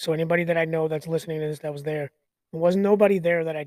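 A man's high-pitched voice with an American accent, flat and monotone, in a dry, close recording without echo. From United States. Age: 40s. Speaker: podcast host. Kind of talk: casual monologue. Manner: hesitant, many fillers.

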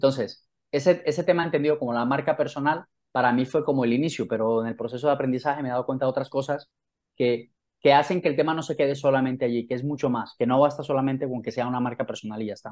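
This man talks at a very fast pace with fairly even intonation. His pitch is medium. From Colombia, Santa Marta (Caribbean coast). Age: 40s. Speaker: author and professional development trainer. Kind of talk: interview.

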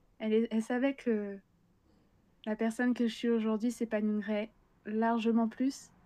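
With a fairly high pitch and a dark, mellow tone, a woman speaks at a fairly slow pace in a monotone, flat intonation, her loudness very even and her speech marked by long, frequent pauses. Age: young. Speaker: illustrator and graphic designer. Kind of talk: interview.

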